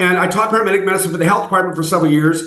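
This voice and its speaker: With fairly even intonation, a man speaks at a high pitch. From California (Fresno). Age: 60s. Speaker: raw dairy farmer. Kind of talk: interview.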